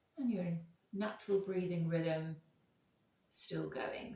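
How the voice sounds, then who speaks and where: A woman speaks quietly at a moderate pace in a calm, soothing tone. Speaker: yoga instructor. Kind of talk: guided yoga class.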